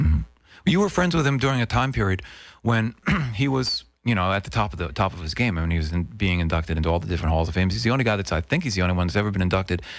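Against a quiet background, a man talks at a very fast pace in a very deep, low voice, the sound dry with no echo. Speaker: radio host interviewer. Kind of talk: interview questions. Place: studio.

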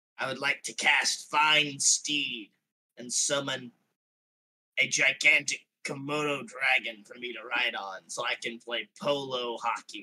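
Putting on a character voice, a man speaks at medium pitch and a fairly slow pace. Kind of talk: comic overacting. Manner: gruff, callous, grudgingly fond.

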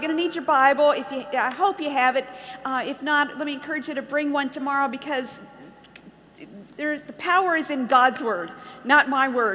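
A woman's raised, projected voice at a moderate pace, with ordinary pitch variation. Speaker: conference speaker. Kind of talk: sermon. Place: hall. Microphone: headset.

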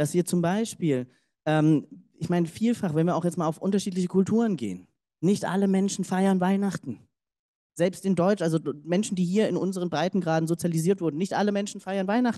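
Against a quiet background, a man with a high pitch and a dark, mellow tone talks at a fairly quick pace with fairly even intonation. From Germany, Cologne; Germany. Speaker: diversity consultant; keynote speaker. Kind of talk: keynote speech. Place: hall.

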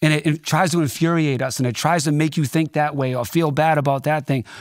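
A man with a Boston accent speaks at a fairly quick pace in an animated tone, with a quiet background. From Boston, Dorchester. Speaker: DJ and record producer; DJ. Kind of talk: casual interview chat. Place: studio. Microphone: studio mic.

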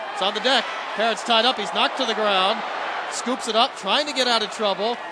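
Excited and speaking very fast, a man comes through. There's noticeable background noise behind him. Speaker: play-by-play announcer. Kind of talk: live play-by-play lacrosse commentary, rapid clipped calls building to a goal shout. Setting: broadcast booth at a packed stadium. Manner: rapid-fire, staccato phrasing as the clock winds down; escalates to an excited shout on the goal.

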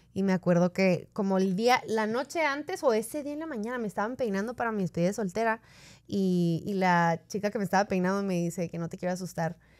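This woman talks at a very fast pace, her pitch medium and her intonation lively. The recording is very clean, with nothing audible behind her. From northern Mexico, Ciudad Juárez. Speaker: podcast co-host. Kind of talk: casual interview chat.

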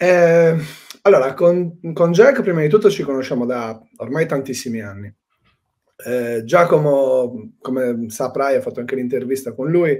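Fairly slow and fairly high-pitched, this man's voice has lively intonation. His loudness swings widely. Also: quiet background. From Sardinia, Cagliari; Sardinia, Italy. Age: 30s. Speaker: spearfisherman and excursion guide; excursion guide. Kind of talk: casual interview. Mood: relaxed, reflective. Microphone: video call.

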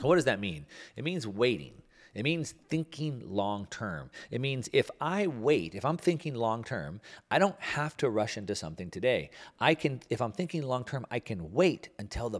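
Moderately paced male speech with vocal fry and very wide pitch swings, over a quiet background. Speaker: show host. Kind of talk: commentary. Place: studio. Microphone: studio mic.

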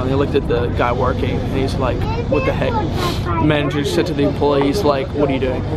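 Over crowd noise in the background, a man talks at a very fast pace with a dry sound and no echo. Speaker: travel vlogger. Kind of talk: casual vlog chat. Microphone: phone near.

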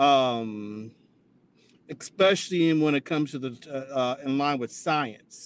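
Here a man speaks in an American accent with a fairly high pitch. His pitch varies in an ordinary way, and the sound is dry with no echo. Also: fairly slow pace. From US Midwest, Columbus, Ohio; Ohio. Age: 50s. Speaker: interview guest, atheist; interview guest. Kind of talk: interview testimony.

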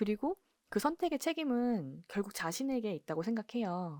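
This woman speaks at a fairly slow pace, her pitch swinging very widely. The recording is very clean and dry, close with no echo, over a silent background. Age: 40s. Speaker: embroidery workshop owner and YouTuber. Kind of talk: casual vlog monologue.

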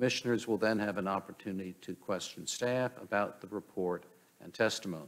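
At a fairly quick pace, a man speaks in a plain, everyday voice with fairly low pitch and ordinary pitch variation. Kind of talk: formal procedural reading. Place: hall. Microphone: podium.

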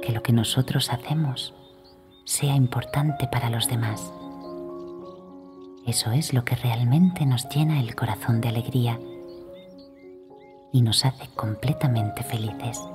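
A woman's very deep, low voice with a soothing tone and ordinary pitch variation, at a fairly slow pace with long, frequent pauses over music in the background. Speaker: children's storyteller. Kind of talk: bedtime story for children. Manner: tender, soothing.

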